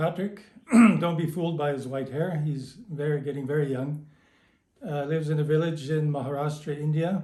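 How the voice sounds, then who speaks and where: A man with a Canadian accent speaks at a moderate pace with a fairly high pitch, a dark, mellow, somewhat breathy tone and monotone, flat intonation, amid audible room echo. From Canada. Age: 60s. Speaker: early member of a meditation community. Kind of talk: recorded greeting.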